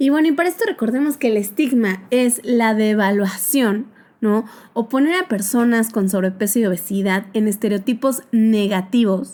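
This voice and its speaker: Somewhat breathy and fairly high in pitch, a woman with a dark, mellow tone speaks at a moderate pace with lively intonation. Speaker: psychologist, podcast host. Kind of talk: podcast monologue.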